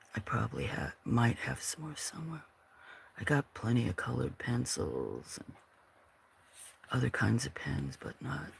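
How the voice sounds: A man's mumbling, put-on character voice, fairly low in pitch, at a moderate pace with long, frequent pauses.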